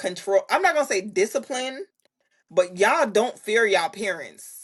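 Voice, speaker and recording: A woman speaks at a fairly slow pace with lively intonation. The background is quiet. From Jamaica. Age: 30s. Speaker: content creator, Navy member. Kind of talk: casual chat.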